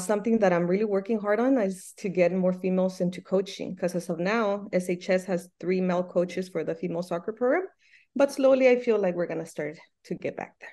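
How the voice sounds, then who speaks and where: A woman's very fast speech with a Spanish accent, medium pitch, ordinary pitch variation and a dark, mellow tone over a quiet background. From Michoacán, Mexico. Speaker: soccer coach and Spanish teacher. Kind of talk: casual interview.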